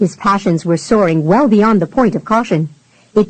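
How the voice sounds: A natural reading voice shows ordinary pitch variation.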